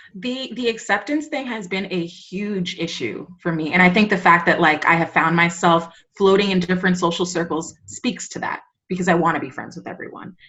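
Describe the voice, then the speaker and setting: Her loudness swinging widely, a woman of medium pitch speaks at a fairly quick pace. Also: ordinary pitch variation. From New York, the Bronx (Dominican-American). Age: 30s. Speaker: teacher. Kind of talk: podcast interview. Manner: halting, many fillers.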